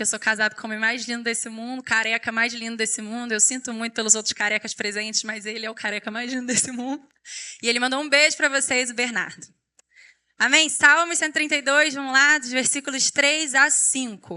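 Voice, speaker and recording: A woman with a Rio de Janeiro accent talks at a fairly quick pace. Her high-pitched voice has a bright, sharp tone and ordinary pitch variation. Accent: carioca (Rio). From Rio de Janeiro, Brazil. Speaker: preacher, youth pastor. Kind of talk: sermon. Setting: church stage with audience.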